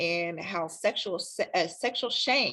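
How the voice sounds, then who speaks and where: A woman with a Kentucky accent speaks at medium pitch in a bright, sharp tone, in a very clean recording with a silent background. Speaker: sex counselor. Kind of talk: interview. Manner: hesitant, many fillers.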